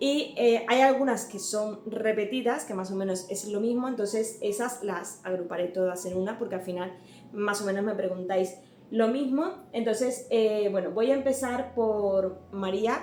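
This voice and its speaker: A woman with a slight Cuban accent, fairly high pitch, ordinary pitch variation and a fairly slow pace, amid audible room echo and noticeable background noise. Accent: slight Cuban accent, often taken for Canarian. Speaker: home and cleaning youtuber. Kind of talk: Q&A vlog. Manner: hesitant, many fillers.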